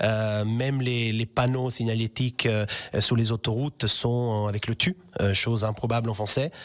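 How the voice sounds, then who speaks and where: A man speaks with an Italian accent at a medium pitch and moderate pace, his intonation fairly even. His loudness stays very even, and the sound is dry and close with no echo. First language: Italian (speaking French). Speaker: language teacher. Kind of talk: radio interview.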